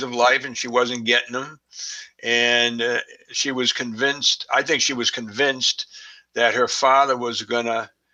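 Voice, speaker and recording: A man with a Boston accent, monotone and flat in intonation, at a fairly slow pace. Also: long, frequent pauses. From Boston, Massachusetts. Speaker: forensics expert. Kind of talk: interview. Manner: halting, many fillers.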